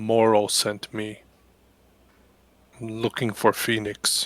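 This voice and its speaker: A man performs a put-on character voice at a medium pitch. He goes at a very slow pace with monotone, flat intonation. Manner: secretive.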